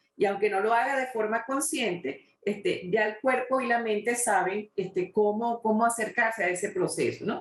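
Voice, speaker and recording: A plain, everyday voice with ordinary pitch variation, moderate pace and hardly any pauses. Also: woman, fairly high pitch for a woman. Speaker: interviewer, talk show host. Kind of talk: interview question.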